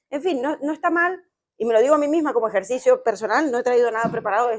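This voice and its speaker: Very fast speech comes from a woman. The recording is very clean with a silent background. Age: 30s. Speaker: psychologist and psychoanalyst, podcast co-host. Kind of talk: live discussion before audience. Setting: stage with live audience in a bar.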